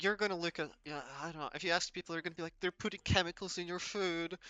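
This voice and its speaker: A man with a non-native accent talks at a very fast pace with a high pitch and fairly even intonation. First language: not English. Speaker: self-improvement vlogger. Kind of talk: casual monologue. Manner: hesitant, many fillers.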